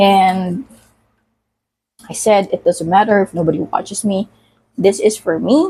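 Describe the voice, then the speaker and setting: A woman speaks at a medium pitch in a dark, mellow, somewhat breathy tone with ordinary pitch variation. Her pace is fairly slow, with long, frequent pauses. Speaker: vlogger. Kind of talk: casual vlog monologue while cooking. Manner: halting, many fillers.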